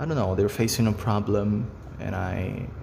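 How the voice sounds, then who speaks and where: There is audible room echo as a man speaks with a Brazilian Portuguese accent. His tone is dark and mellow, with fairly low pitch and fairly even intonation. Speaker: face reading hobbyist, video creator. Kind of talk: casual monologue to camera. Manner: halting, with fillers.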